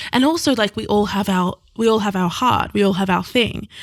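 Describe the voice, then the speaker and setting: The recording is very clean, with a silent background. A woman speaks at a medium pitch with vocal fry. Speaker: podcast host and author, guest. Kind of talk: casual chat.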